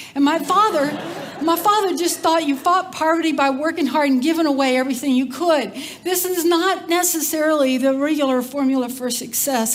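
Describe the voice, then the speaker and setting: A woman's high-pitched, animated voice in a Texan accent, fairly quick in pace, with ordinary pitch variation, very even loudness, audible room echo and noticeable background noise. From Texas, Cajun family background. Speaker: community development leader, speaker. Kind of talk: conference talk. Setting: stage with audience.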